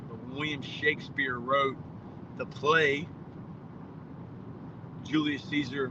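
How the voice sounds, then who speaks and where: Over noticeable background noise, a man with a fairly high voice speaks with an Appalachian Virginia accent. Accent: Southern Appalachian Virginia. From Virginia mountains and Southside Richmond.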